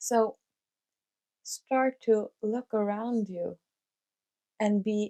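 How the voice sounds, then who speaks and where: A woman's dark, mellow voice at a very slow pace, dry and close with no echo. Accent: Norwegian. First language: Norwegian. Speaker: life coach / vlogger. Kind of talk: motivational talk to camera. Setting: home recording with mic and camera. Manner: hesitant, many fillers.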